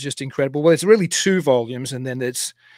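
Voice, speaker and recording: A man's voice with ordinary pitch variation, dry with no echo, against a quiet background. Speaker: podcast host. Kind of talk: guest introduction. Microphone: studio mic.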